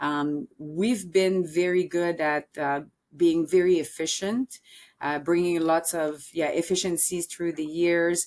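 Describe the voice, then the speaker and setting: In a Quebec accent, a woman with a fairly low pitch speaks at a very slow pace, her intonation fairly even. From Quebec City, Canada. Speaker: sales and marketing executive. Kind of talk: podcast interview. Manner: hesitant with many fillers.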